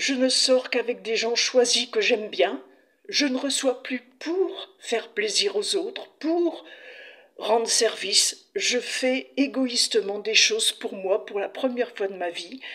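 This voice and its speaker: A woman with a high pitch speaks at a very slow pace with lively intonation. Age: 60s. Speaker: patient sharing her illness experience. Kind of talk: testimony.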